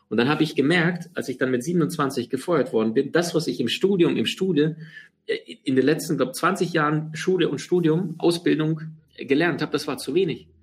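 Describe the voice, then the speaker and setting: Here a man talks with a fairly high pitch and ordinary pitch variation. He keeps a moderate pace. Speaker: podcast host, seminar trainer. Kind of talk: personal storytelling monologue. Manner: halting, many fillers.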